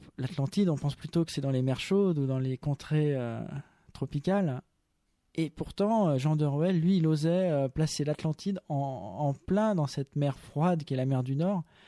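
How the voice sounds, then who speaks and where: A fairly high-pitched man's voice of dark, mellow tone with ordinary pitch variation, dry and close with no echo, on a very clean recording with a silent background. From France, Chambéry and Loiret. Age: young. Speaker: author and English teacher. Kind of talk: radio interview.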